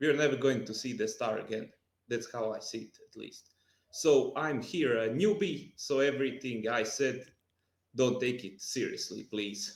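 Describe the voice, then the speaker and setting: A man's medium-pitched voice with a non-native accent and lively intonation. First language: not English. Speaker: music podcast panelist. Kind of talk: casual chat. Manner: halting.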